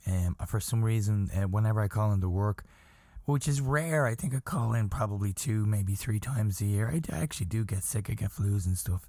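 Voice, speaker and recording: A man with a fairly low pitch and a dark, mellow, somewhat breathy tone keeps a fairly quick pace, ordinary pitch variation and very even loudness on a very clean recording with a silent background. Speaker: podcast host. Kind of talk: casual chat.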